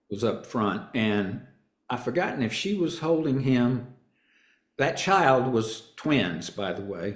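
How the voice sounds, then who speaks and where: Speaking very slowly with a Southern accent, the man has a medium pitch that swings very widely. Room echo is audible. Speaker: actor and stand-up comedian. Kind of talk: interview. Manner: halting.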